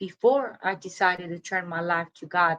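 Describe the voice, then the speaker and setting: Very slowly, a woman speaks in a Spanish accent with a bright, sharp tone. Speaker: recovery coach. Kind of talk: personal testimony.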